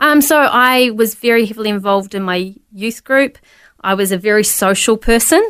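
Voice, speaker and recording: In a very clean recording with a silent background, the speaker talks with a New Zealand accent. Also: woman, fairly high pitch for a woman, ordinary pitch variation, moderate pace. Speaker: pastor. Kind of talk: testimony.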